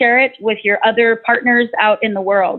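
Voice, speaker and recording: A woman speaks with a fairly high pitch. Her intonation is fairly even over a quiet background. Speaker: nonprofit board member, presenter; presenter. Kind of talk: webinar closing remarks. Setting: online webinar. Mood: warm, grateful. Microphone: video call.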